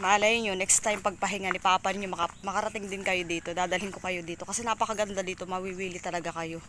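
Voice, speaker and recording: A woman at a very fast pace with hardly any pauses, monotone and flat in intonation, over noticeable background noise. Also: medium pitch for a woman. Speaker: vlogger. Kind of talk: casual vlog narration. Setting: outdoors.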